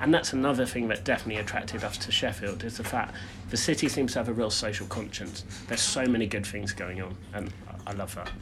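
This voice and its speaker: With music in the background and audible room echo, the voice moves at a very fast pace with ordinary pitch variation. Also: man, fairly low pitch for a man. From southern England, Brighton. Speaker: personal branding consultant. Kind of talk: casual chat.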